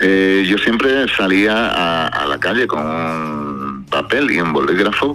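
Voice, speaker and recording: Over noticeable background noise, a man with a Spanish accent talks in a very deep, low pitch with very wide pitch swings. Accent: Spanish, slightly diluted by deep voice. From Spain, Cádiz. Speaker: singer-songwriter. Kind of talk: radio interview.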